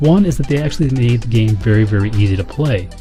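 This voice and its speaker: A man talks at a very fast pace. Music can be heard behind him. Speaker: gaming YouTuber. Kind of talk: video essay commentary.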